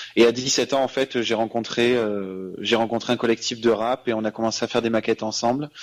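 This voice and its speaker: A man at a medium pitch speaks fairly quickly in a flat monotone, with hardly any pauses. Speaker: singer. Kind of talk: radio interview. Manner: halting.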